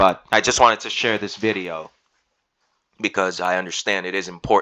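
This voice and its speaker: Against a quiet background, a man with a fairly low pitch speaks in a bright, sharp tone. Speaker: YouTuber and undergraduate researcher. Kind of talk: unscripted screen-share walkthrough. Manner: halting, stuttering; rambling with fillers.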